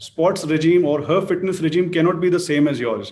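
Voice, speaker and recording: This man's voice sits high in pitch and keeps a moderate pace. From India. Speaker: fitness company head hosting interview. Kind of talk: panel interview on TV. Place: home room. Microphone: video call.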